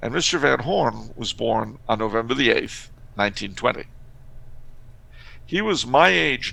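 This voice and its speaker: Speaking at a fairly slow pace with vocal fry, a man leaves long, frequent pauses. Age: 50s. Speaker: author and historian guest. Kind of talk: casual podcast interview. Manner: conversational with frequent hesitations.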